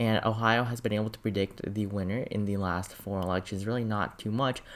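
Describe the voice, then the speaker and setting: Recorded very cleanly with a silent background, a man talks in a fairly low pitch with fairly even intonation. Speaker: political YouTuber. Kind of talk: political analysis monologue. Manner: rushed.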